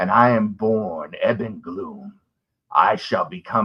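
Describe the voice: Quiet background, plain reading aloud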